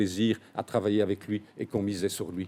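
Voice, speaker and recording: This man has a fairly low voice with a dark, mellow tone. He speaks at a fairly quick pace with fairly even intonation. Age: 60s. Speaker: politician. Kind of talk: press conference. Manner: hesitant, many filler sounds.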